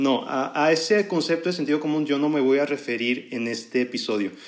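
This man speaks with a northern Mexican accent at a fairly high pitch. His pace is moderate, and his pitch varies in an ordinary way. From northern Mexico. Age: 20s. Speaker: podcaster, student. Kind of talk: monologue podcast. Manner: relaxed. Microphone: professional microphone.

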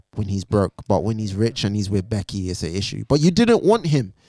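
A man's voice swings very widely in pitch, with a dry, close sound with no echo, in a very clean recording with a silent background. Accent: London. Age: 20s. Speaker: poet and music critic. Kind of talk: casual chat. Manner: animated.

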